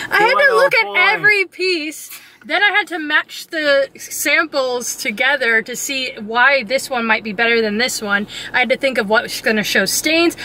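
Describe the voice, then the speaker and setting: A woman speaks in a raised, projected voice at a moderate pace. The sound is dry with no echo, over light background noise. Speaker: travel vlogger. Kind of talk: casual vlog chat. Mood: cheerful, excited, laughing. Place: car. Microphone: phone near.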